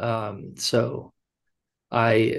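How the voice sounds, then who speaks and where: A man's medium-pitched voice over a quiet background. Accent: Californian. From Los Angeles, US. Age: 30s. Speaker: fashion brand founder. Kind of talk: interview. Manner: halting, many fillers.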